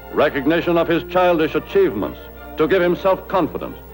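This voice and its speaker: A man talks at a very fast pace with music playing in the background. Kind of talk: newsreel narration.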